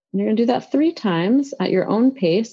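This woman has an ordinary speaking voice and an American accent. She speaks at a moderate pace with lively intonation. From New York City. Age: 40s. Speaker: professor and children's author. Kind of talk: guided meditation; interview. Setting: video call.

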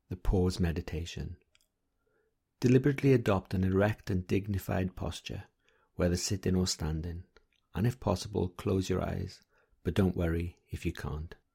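In a very clean, dry and close recording with a silent background and no echo, a man speaks at a moderate pace in a very deep, low voice, dark, mellow and somewhat breathy, with ordinary pitch variation and long, frequent pauses. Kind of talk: guided meditation. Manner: gentle, soft-spoken and measured.

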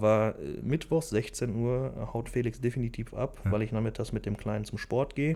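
On a very clean recording with a silent background, a man uses a normal speaking voice at a medium pitch and fairly slow pace. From Germany, Velbert (Bergisches Land, NRW). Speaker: business owner. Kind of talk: interview. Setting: factory hall.

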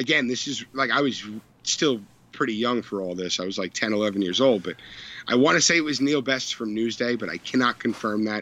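A man's plain, everyday voice at a fairly quick pace, with ordinary pitch variation over a quiet background. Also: medium pitch for a man. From Long Island, New York. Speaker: baseball blogger. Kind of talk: casual chat.

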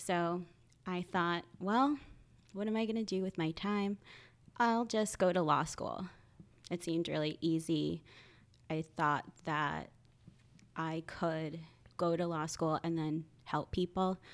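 A woman with an American accent speaks at a fairly low pitch and a fairly slow pace. She leaves long, frequent pauses. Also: ordinary pitch variation. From New Jersey, Point Pleasant. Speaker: social worker. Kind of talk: casual chat.

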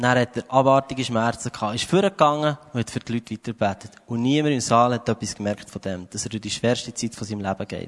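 In a dry, close recording with no echo, a man with a normal speaking voice and medium pitch talks at a fairly quick pace with hardly any pauses and ordinary pitch variation. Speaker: preacher. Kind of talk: sermon. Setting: church stage with audience.

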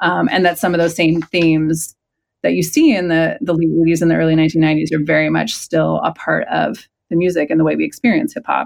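A Californian accent at a fairly quick pace, on a very clean recording with a silent background. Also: woman. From San Francisco Bay Area. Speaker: historian and author. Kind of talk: interview.

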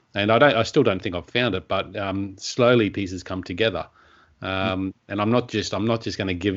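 A man with an Australian accent talks at a fairly quick pace, his fairly low voice keeping a fairly even intonation. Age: 30s. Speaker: podcast host, personal development coach. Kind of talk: interview.

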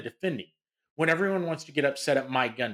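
The speaker has an American accent. The pace is fairly quick. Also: man. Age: 40s. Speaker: sports podcast co-host. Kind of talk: casual chat. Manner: animated.

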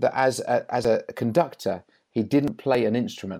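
On a very clean recording with a silent background, a man of medium pitch speaks at a moderate pace, his tone dark and mellow, his pitch variation ordinary. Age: 40s. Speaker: church leader. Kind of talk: interview.

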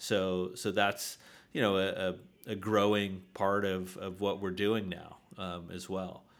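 Amid audible room echo, a man with a very deep, low voice speaks fairly slowly in a monotone, flat delivery. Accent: American. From Southern California, San Diego. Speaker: real estate developer. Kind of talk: interview. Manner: halting, many fillers.

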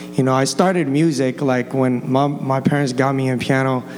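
A man with an American accent, fairly high pitch and moderate pace, amid noticeable background noise and audible room echo. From Los Angeles County, California. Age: 20s. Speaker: church student sharing testimony. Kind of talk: personal testimony before a congregation. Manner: casual, halting with repetitions and 'like'.

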